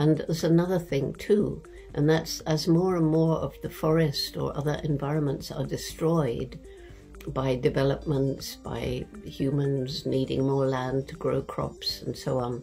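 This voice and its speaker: A woman speaks at a fairly slow pace. Faint music plays in the background. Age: 80s+. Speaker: anthropologist. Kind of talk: interview answer. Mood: calm, earnest. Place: home room. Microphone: webcam.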